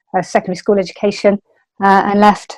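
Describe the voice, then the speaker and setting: A woman with a West Country accent speaks at medium pitch and a fairly quick pace. Her intonation is monotone and flat, in a dry, close sound with no echo. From West Country, England (near Bristol). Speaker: martial arts instructor. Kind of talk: interview. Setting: podcast.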